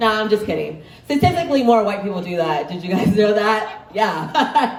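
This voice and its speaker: A woman speaks at a moderate pace in a medium pitch with lively intonation. The recording carries noticeable background noise and audible room echo. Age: 20s. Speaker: comedian. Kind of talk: stand-up.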